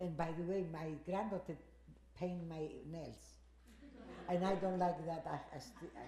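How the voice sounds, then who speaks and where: Speaking in a Greek accent, a woman with a fairly low pitch and monotone, flat intonation leaves long, frequent pauses amid audible room echo. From Greece. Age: 80s+. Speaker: Holocaust survivor. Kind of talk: testimony. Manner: halting.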